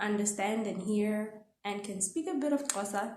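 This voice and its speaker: In a Botswana accent, a woman speaks at a medium pitch, with audible room echo around her. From South Africa, Pretoria. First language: Setswana. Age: 20s. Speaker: actress and vlogger. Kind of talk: casual vlog introduction. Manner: animated.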